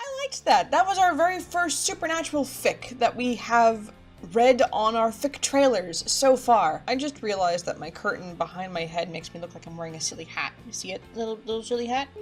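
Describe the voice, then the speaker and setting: With music in the background, a woman speaks in an upbeat tone at a fairly quick pace with hardly any pauses, her fairly high pitch swinging very widely and her loudness shifting a lot. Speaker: fan fiction reader. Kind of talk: casual talk to camera.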